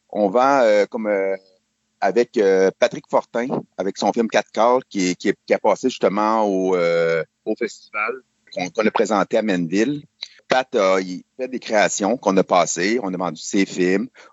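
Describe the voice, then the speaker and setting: With a Quebec accent, a man speaks at a very slow pace and fairly low pitch, pausing long and often, with ordinary pitch variation. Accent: Québécois French. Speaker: online auction business owner. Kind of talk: interview.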